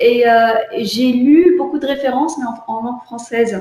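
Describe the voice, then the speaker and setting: The speaker has an Arabic accent, and audible room echo can be heard. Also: woman. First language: Arabic (speaking French). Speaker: visual artist. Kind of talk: online artist interview. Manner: halting, many repetitions.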